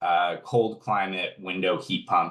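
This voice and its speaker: A man talks at a moderate pace in a fairly low pitch. It is an ordinary speaking voice. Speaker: energy efficiency program manager. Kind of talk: webinar presentation.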